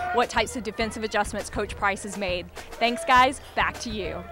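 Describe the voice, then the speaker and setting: With music in the background, a woman talks fairly quickly at a fairly high pitch and with fairly even intonation. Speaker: sports broadcaster. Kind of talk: sideline sports report.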